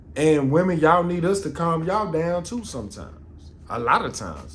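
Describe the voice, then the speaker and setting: A man with a high pitch at a moderate pace, with audible room echo. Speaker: podcast host. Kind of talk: casual podcast monologue. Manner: loud; animated.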